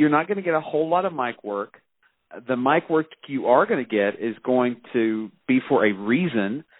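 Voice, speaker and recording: A plain, everyday voice: a man at medium pitch, moderate pace and lively intonation. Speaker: professor and wrestling fan. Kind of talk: casual chat.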